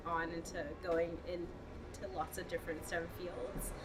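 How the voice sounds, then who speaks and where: Noticeable background noise sits under audible room echo in this clip. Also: woman. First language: not English. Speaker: STEM education program manager. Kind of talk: interview. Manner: halting, with fillers.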